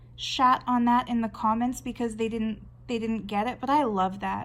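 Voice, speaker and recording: With a Canadian accent, a woman speaks at a moderate pace in a fairly high, somewhat breathy voice with fairly even intonation, on a very clean recording with a silent background. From Canada. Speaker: artist and video blogger. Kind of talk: casual talk while drawing. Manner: conversational, with fillers and restarts.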